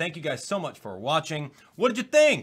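A man speaks with vocal fry and a bright, sharp tone, his pitch swinging very widely against a quiet background. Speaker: gaming video host. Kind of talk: let's play outro commentary.

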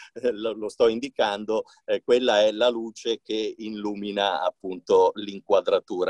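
The background is quiet and the sound is dry, with no echo. A man talks at a moderate pace. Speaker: radio host and voice actor. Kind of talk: casual talk to camera. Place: booth. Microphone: phone near.

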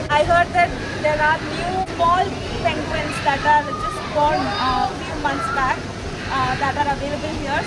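Over crowd noise in the background, a woman talks at a fairly slow pace. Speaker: travel vlogger. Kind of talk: casual vlog chat. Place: hall. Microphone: phone near.

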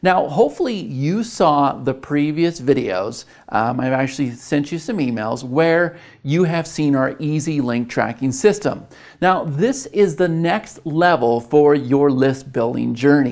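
Over a quiet background, a man speaks at a fairly slow pace with ordinary pitch variation. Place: studio. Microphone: lapel.

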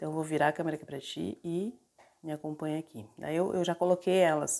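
Fairly even intonation at a fairly quick pace against a quiet background. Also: woman. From Porto Alegre, southern Brazil; Rio Grande do Sul, Brazil. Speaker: spiritual practitioner and video creator; herbal bath teacher. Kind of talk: tutorial; casual tutorial chat. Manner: casual, many filler tags. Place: kitchen. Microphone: phone near.

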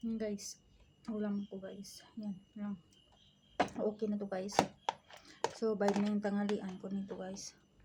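A woman at medium pitch speaks at a fairly slow pace in a monotone, flat intonation, with long, frequent pauses, big swings in loudness and noticeable background noise. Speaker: vlogger. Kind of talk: casual eating vlog.

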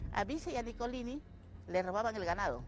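A woman with a fairly high pitch and vocal fry is heard in a dry sound with no echo, with noticeable background noise. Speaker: interviewee, resident. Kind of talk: interview answer. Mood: aggrieved, insistent. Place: open country. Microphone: handheld.

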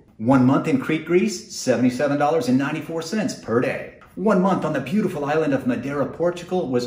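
Audible room echo surrounds the man's speech. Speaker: travel vlogger. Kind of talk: casual vlog chat. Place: home room. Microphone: lapel.

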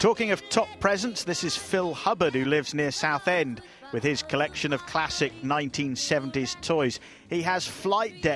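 A man talks at a moderate pace with few pauses, his fairly bright tone carried by lively intonation over faint music in the background.

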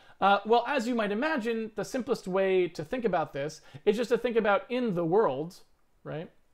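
A man with an American accent, high-pitched, with lively intonation, at a moderate pace over a quiet background. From Massachusetts, US. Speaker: game engine programmer; programmer giving a lecture. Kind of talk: lecture; casual introduction. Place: home room.

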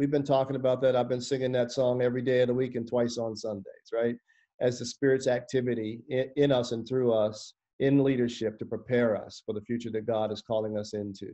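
Over a quiet background, a man talks at a fairly quick pace in a dark, mellow tone with monotone, flat intonation. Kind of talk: interview answer. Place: home room. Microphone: video call.

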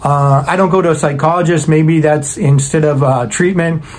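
Fairly high in pitch, a man speaks with a slightly mellow tone and fairly even intonation. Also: moderate pace.

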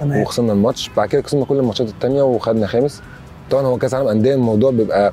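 Faint music plays in the background while a man talks. His voice comes through dry, with no echo. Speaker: interviewee. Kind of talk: interview answer. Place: open country. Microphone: lapel.

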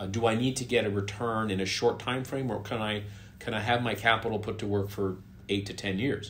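With light background noise, a man uses an ordinary speaking voice at a fairly low pitch, with fairly even intonation and a fairly quick pace. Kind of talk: interview answer. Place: home room.

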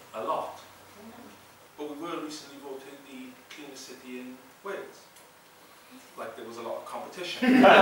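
Amid strong room echo and light background noise, a man talks at a fairly quick pace, his loudness swinging widely. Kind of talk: comedy monologue. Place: hall. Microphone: camera far.

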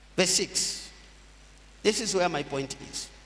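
A man at a very slow pace with audible room echo. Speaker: pastor. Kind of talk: sermon, scripture reading. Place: church. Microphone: podium.

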